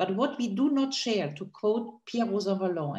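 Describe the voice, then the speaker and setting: A somewhat breathy woman's voice in a German accent, medium in pitch and dark, mellow in tone, with ordinary pitch variation at a moderate pace. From Germany. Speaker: political analyst on a panel. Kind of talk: panel discussion.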